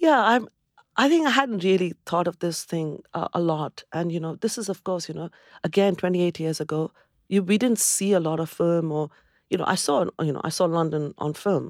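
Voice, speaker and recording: In an Indian accent, a woman with a fairly low voice and ordinary pitch variation speaks at a moderate pace on a very clean recording with a silent background and a dry, close sound with no echo. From India, Calcutta. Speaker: restaurant founder and chef. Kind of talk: interview, life story. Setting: studio. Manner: animated.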